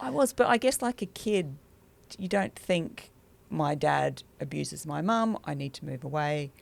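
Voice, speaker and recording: Vocal fry is heard in this woman's voice. Her pitch is very deep and low. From England, moved to Australia as a child. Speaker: doctor. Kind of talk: personal interview, life story. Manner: halting, many fillers.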